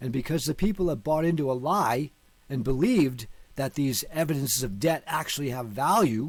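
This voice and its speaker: With an American accent and an unremarkable speaking voice, a man talks at a moderate pace. His pitch is fairly high and his intonation lively. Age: 50s. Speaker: online teacher on law and finance. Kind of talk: video lecture.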